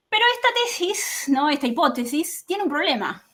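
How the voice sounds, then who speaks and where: With very wide pitch swings, a woman talks in a bright, sharp tone. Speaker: political scientist. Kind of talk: academic talk. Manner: fast.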